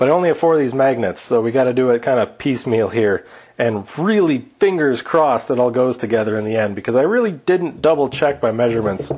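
A man at a very fast pace with lively intonation, over a quiet background. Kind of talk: casual tutorial chat. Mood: joking, playful. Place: garage.

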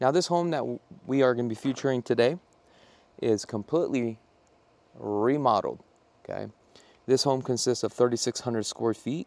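A man's voice shows ordinary pitch variation and a dry sound with no echo. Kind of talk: walking tour commentary. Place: street. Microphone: phone near.

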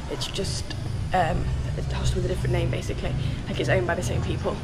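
A woman is talking. Clear music runs in the background. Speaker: solo backpacker vlogger. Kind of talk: casual vlog chat. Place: garden. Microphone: phone near.

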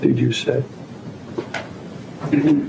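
Noticeable background noise sits behind the recording. Over it, a man is talking. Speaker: judge. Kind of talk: courtroom proceedings. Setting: courtroom. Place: hall. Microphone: podium.

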